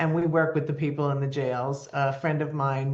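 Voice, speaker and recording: Speaking with an American accent, a woman uses a very deep, low pitch. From New Jersey. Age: 70s. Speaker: nonprofit founder and life coach. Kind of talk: interview. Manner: animated storytelling.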